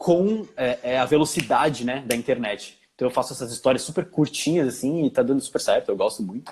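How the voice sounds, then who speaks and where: A man's somewhat breathy, fairly high voice with lively intonation, fairly quick and with hardly any pauses, in a very clean recording with a silent background. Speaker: filmmaker and actor. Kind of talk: interview. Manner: fast.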